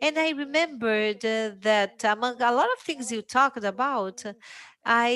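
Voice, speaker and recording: This speaker has a Portuguese accent, a bright, sharp tone and a fairly slow pace. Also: woman. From Brazil. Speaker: journalist. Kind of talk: panel discussion. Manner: hesitant, many fillers.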